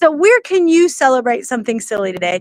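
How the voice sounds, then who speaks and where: Dry and close with no echo, a woman's animated voice swings very widely in pitch. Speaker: networking coach and livestream host. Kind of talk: livestream motivational talk. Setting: outdoors. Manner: fast.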